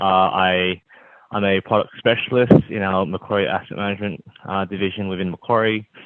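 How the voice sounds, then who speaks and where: This man's very deep, low voice keeps fairly even intonation at a moderate speed. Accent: Australian. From Australia. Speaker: finance product specialist, panelist. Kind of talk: panel discussion.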